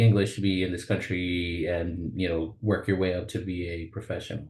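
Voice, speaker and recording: A man speaks with an American accent at a moderate pace. His voice is very deep and low, and somewhat breathy. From South Texas (Rio Grande Valley). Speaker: vascular surgeon, webinar presenter. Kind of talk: webinar presentation. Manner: halting, many fillers.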